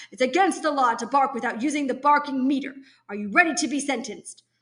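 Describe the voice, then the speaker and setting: A woman puts on a character voice, high-pitched and very fast. Her pitch variation is ordinary. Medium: read story. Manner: blustering, officious.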